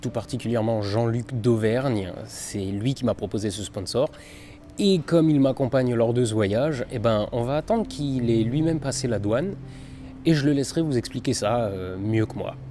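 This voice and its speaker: Music in the background behind a man's medium-pitched voice with ordinary pitch variation. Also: moderate pace. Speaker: science YouTuber. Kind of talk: travel vlog. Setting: airport. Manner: hesitant, many fillers.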